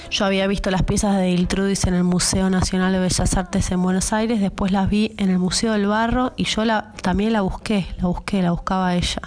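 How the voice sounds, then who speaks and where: A woman with a medium pitch speaks at a moderate pace with hardly any pauses. Her intonation is monotone and flat, and her loudness is very even. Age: 30s. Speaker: ceramicist. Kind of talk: personal testimony. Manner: halting, repeats words.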